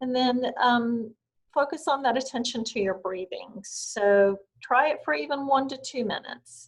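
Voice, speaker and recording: A woman's high pitch with ordinary pitch variation, calm tone, moderate pace and a strong Southern US accent. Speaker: wellness instructor. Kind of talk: guided meditation. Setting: video call.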